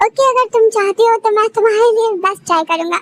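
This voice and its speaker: A woman does a put-on, squeaky character voice at an extremely high pitch, with fairly even intonation and very even loudness. She talks at a fairly quick pace, and the sound is dry and close with no echo. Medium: read story. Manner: gentle, reassuring.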